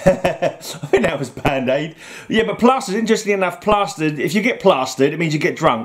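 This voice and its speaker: Over noticeable background noise, a high-pitched man speaks with very wide pitch swings. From London, England (East London). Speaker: YouTuber. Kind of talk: casual explainer monologue. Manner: hesitant, lots of fillers.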